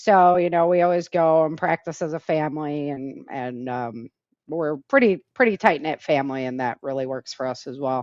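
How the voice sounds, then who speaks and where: Very deep and low in pitch, a woman with an American accent speaks at a moderate pace, with ordinary pitch variation and big swings in loudness. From Michigan, US Midwest. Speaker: author and self-defense instructor. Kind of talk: interview.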